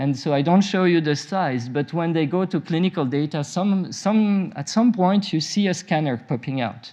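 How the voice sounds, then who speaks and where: A man with a French-Swiss accent at high pitch, in a dark, mellow tone, at a moderate pace with hardly any pauses. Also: ordinary pitch variation. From French-speaking Switzerland. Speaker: nuclear medicine physician. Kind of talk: conference talk. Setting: conference session with audience. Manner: hesitant, many fillers.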